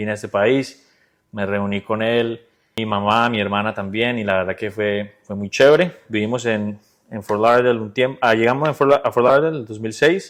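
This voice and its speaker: A man speaks in a plain, everyday voice. His pitch is medium and his pace moderate. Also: ordinary pitch variation. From Colombia, Bucaramanga. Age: 30s. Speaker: insurance business owner. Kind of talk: casual interview. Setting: at his home.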